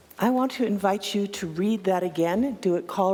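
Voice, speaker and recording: Fairly slow speech from a woman, noticeable noise in the background. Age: 60s. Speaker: minister. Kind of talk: sermon. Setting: church.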